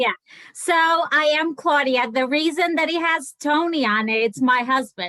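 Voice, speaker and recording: With a raised, projected voice, a woman speaks at a fairly slow pace in a bright, sharp tone, at high pitch with ordinary pitch variation and very even loudness. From Portugal. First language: Portuguese. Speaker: direct sales seller. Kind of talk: casual chat.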